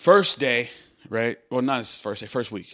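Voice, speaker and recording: A man with lively intonation at a moderate pace. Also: very clean recording, silent background. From US Midwest, Chicago. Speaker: entrepreneur. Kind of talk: casual interview chat.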